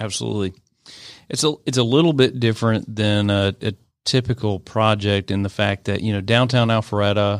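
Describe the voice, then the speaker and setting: An unremarkable speaking voice with an American accent talks at a fairly quick pace with fairly even intonation. The recording is very clean, with a silent background. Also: man. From US South, Atlanta area. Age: 30s. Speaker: real estate investment executive. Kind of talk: radio interview. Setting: studio.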